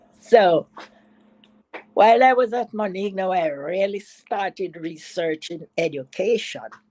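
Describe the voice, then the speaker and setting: The sound is dry and close with no echo as a woman speaks at a fairly slow pace. Her medium-pitched voice has a dark, mellow tone and ordinary pitch variation. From Jamaica. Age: 80s+. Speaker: retired educator. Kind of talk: interview answer.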